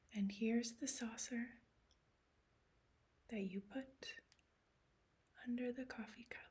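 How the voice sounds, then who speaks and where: A soft-spoken woman's fairly high voice, monotone and flat, very slow, with long, frequent pauses. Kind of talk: ASMR show-and-tell.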